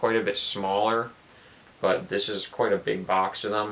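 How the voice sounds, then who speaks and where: A soft-spoken man talks at a fairly slow pace against noticeable background noise. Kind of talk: relaxing unboxing talk to camera. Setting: indoors, basement.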